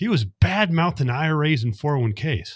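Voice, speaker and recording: A man with an American accent, somewhat breathy, at a moderate pace with very wide pitch swings, in a dry, close sound with no echo and a very clean recording with a silent background. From US West, Las Vegas. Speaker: accountant and investor. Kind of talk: podcast interview.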